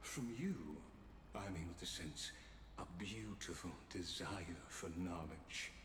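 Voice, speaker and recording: A man's put-on character voice, very deep and low, at a fairly slow pace with long, frequent pauses, slight echo and loud background noise. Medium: video game. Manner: formal, measured, precise.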